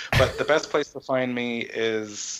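Medium-pitched male voice with an American accent and fairly even intonation, over noticeable background noise. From Texas and Connecticut. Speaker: composer. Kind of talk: casual interview.

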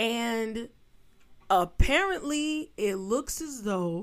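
In a New York accent, a woman speaks in an animated tone with lively intonation, recorded very cleanly against a silent background. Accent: New York street. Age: 30s. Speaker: podcast host. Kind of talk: political commentary monologue.

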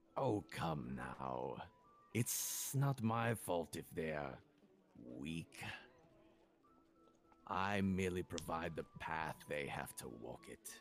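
A man uses a put-on character voice with a very deep, low pitch. He talks at a very slow pace, with long, frequent pauses. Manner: smug, cold.

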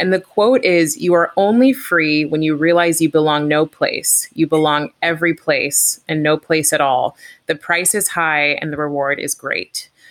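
This woman has a fairly low pitch and ordinary pitch variation. It is a plain, everyday voice. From California. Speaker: podcast co-host and life coach. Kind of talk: casual interview chat.

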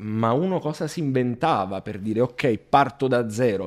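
In a very clean recording with a silent background, a man with a medium pitch and ordinary pitch variation speaks in an unremarkable speaking voice. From Italy. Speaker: e-commerce entrepreneur and online course creator. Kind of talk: casual interview chat.

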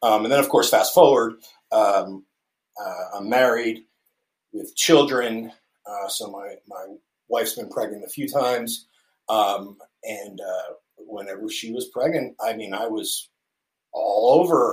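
An American accent at a fairly slow pace, with big swings in loudness and long, frequent pauses. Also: man. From central New Jersey, US. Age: 40s. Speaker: podcast guest. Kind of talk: casual interview chat. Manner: halting, many fillers.

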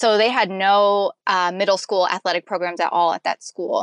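This is an ordinary speaking voice: a woman with an American accent at a medium pitch, fairly even intonation, and a moderate pace. The sound is dry and close with no echo, over a quiet background. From USA. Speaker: elite marathon runner. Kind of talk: interview. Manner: laughs often.

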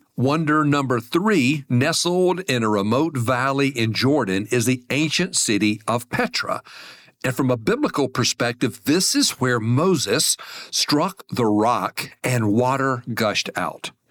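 A plain, everyday voice with an American accent and lively intonation, fairly slow, at very even loudness, dry and close with no echo, on a very clean recording with a silent background. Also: man, medium pitch for a man. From US, small town. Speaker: podcast host on money and faith. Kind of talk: solo podcast monologue. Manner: friendly, conversational.

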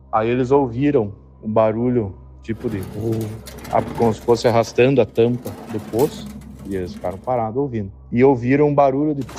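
Long, frequent pauses break up speech at a moderate pace, with ordinary pitch variation and noticeable background noise. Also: man, medium pitch for a man. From Paraná, Brazil. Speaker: listener sharing a story. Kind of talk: recorded personal story.

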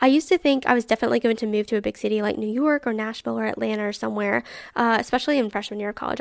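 Speaking at a very fast pace, a woman with a fairly high pitch and an animated tone comes through with a dry, close sound, no echo, and a very clean recording over a silent background. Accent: Southern US. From Alabama. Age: 20s. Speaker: podcast host. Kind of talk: casual chat.

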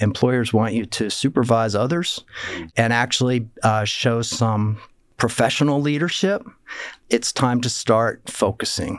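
At a fairly slow pace, a man with a plain, everyday voice speaks in an American accent at a medium pitch with ordinary pitch variation. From Pennsylvania, Lancaster County. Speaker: entrepreneur and philanthropist. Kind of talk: interview.

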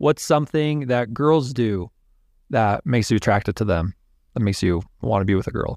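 A man with an American accent in a normal speaking voice, medium in pitch, with lively intonation at a fairly quick pace, dry and close with no echo, in a very clean recording with a silent background. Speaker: podcast guest. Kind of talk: casual chat.

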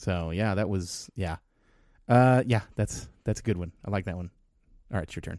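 In a very clean recording with a silent background, a man with a very deep, low voice speaks at a moderate pace, with ordinary pitch variation and long, frequent pauses. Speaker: podcast co-host. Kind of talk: casual chat.

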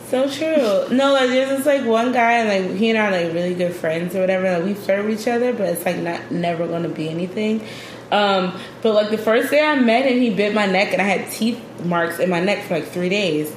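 With audible room echo and noticeable background noise, a woman at a medium pitch speaks at a fairly quick pace with lively intonation. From Philadelphia. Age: 30s. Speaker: travel blogger. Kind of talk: casual chat.

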